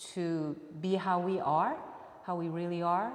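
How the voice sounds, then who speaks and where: A woman with a Japanese accent speaks at a fairly low pitch with ordinary pitch variation. Audible room echo and noticeable background noise come through the recording. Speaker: musician. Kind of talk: interview. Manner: halting.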